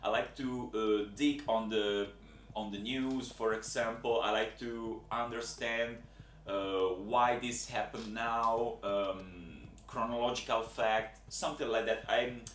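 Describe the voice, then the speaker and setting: A man's medium-pitched voice with an Italian accent, at a very slow pace, in a monotone, flat intonation, with audible room echo. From Italy. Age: 20s. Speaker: job applicant. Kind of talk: video application monologue. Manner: halting, with many fillers.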